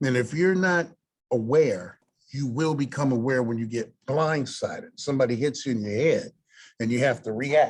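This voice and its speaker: Animated in tone, a man speaks at a moderate pace and medium pitch with ordinary pitch variation. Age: 60s. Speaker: lender / small business funding speaker. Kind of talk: webinar presentation. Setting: online webinar. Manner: halting.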